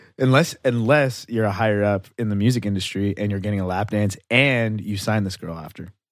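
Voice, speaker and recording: Recorded very cleanly against a silent background, a man with a plain, everyday voice speaks fairly low, with ordinary pitch variation. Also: fairly quick pace. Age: 20s. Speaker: podcast co-host. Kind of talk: casual chat.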